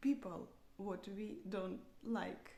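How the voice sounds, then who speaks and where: The speaker's somewhat breathy voice moves at a very slow pace amid audible room echo. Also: woman. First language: not English. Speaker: software developer practicing English. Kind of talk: unscripted speaking practice monologue. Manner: halting, many fillers and restarts.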